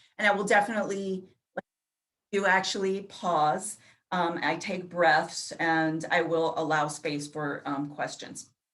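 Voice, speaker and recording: With a plain, everyday voice and an American accent, a woman talks at a fairly slow pace with ordinary pitch variation. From New York City. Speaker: grant information session presenter. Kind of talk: online information session. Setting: video call.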